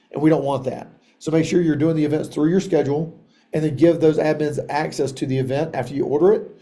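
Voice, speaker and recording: In a room with audible echo, a man talks at a very fast pace in a fairly high voice with a dark, mellow tone and monotone, flat intonation. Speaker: software trainer for wrestling coaches. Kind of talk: online training tutorial.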